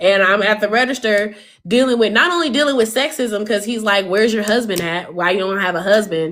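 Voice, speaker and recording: A woman with a Southern US accent, fairly high in pitch and animated in tone, at a fairly quick pace over noticeable background noise. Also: ordinary pitch variation. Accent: American Southern. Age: 30s. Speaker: livestreamer. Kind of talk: casual chat. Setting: livestream.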